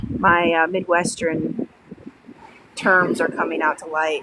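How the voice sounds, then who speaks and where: A woman talks with a northern US accent. Background noise is noticeable. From Illinois, Sycamore (west of Chicago). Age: 30s. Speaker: livestreamer. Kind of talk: casual chat.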